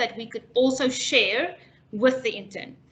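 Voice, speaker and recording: Her high-pitched voice has a bright, sharp tone. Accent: non-native. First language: not English. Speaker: international education specialist. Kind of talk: webinar presentation. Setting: online webinar.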